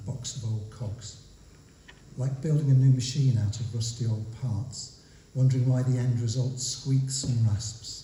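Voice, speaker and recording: In a Midlands accent, a man speaks at a medium pitch and a fairly slow pace. His intonation is fairly even, and there is audible room echo. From English Midlands. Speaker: poet. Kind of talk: poetry reading. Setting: stage with audience.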